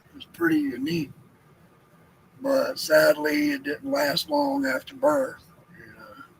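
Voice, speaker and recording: Over noticeable background noise, a man with a Southern US accent speaks in a relaxed tone at a fairly slow pace, his high pitch swinging very widely, with big swings in loudness and long, frequent pauses. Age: 50s. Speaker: homestead livestreamer. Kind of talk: casual chat. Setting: live stream.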